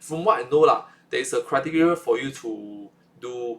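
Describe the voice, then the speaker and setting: A man with a Singaporean accent. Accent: Singaporean English (Singlish). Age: 20s. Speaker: vlogger. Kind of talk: casual monologue vlog. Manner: halting, with many repetitions and fillers.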